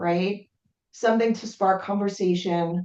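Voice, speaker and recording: Her medium pitch and fairly even intonation shape this woman's ordinary speaking voice, delivered at a fairly slow pace. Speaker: webinar presenter. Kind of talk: webinar presentation.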